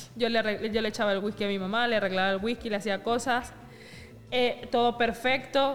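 A woman with a plain, everyday voice, fairly high in pitch, with fairly even intonation at a moderate pace. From Venezuela. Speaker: podcast co-host. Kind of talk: casual chat.

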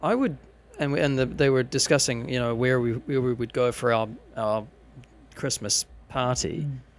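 A man speaks at a medium pitch with fairly even intonation. His pace is moderate, with long, frequent pauses. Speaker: podcast co-host. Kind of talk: casual chat. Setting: indoor recording in front of camera with microphones.

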